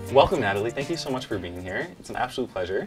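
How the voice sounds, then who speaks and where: Faint music plays in the background. A man at a medium pitch talks at a very fast pace with lively intonation. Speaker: interviewer. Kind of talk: interview. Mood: friendly, enthusiastic. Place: office.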